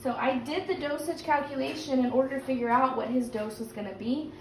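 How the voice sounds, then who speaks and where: A woman talks very fast in a high voice with ordinary pitch variation. Noticeable background noise and audible room echo surround her. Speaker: teacher. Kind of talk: recorded lesson.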